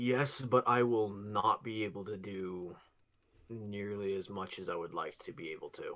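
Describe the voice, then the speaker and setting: Someone delivers lines in a put-on character voice, neither fast nor slow. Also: man, fairly low pitch for a man. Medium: actual play. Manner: hesitant, halting.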